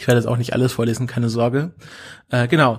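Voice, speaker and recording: A man's somewhat breathy voice is captured in a very clean recording against a silent background. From Swabia, southwest Germany. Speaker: podcast co-host. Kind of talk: casual chat. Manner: hesitant, many fillers.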